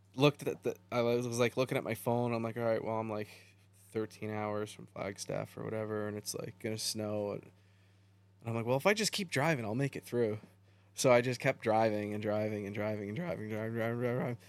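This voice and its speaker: In an American accent, a man with an ordinary speaking voice talks at a medium pitch with fairly even intonation. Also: fairly quick pace. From New York state. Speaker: drifter and logger. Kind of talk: casual chat.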